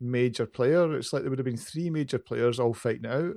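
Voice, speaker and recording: Talking at a fairly quick pace, a man with a strong Glaswegian accent speaks at a fairly high pitch with ordinary pitch variation. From Glasgow, Scotland. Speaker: podcast co-host. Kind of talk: casual chat. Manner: can talk fast.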